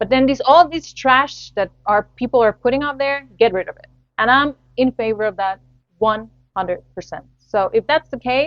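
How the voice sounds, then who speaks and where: A woman with a Spanish accent and a high pitch speaks at a moderate pace, with ordinary pitch variation and big swings in loudness. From Latin America. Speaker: podcast host. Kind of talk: solo podcast commentary.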